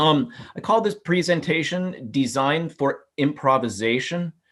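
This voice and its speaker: A man talks with a Midwestern American accent. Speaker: architecture professor. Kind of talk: webinar lecture. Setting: video call.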